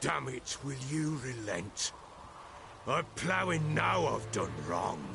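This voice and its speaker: A man's put-on character voice at a medium pitch and a very slow pace, with clear background noise. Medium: video game. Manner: rough, coarse-spoken.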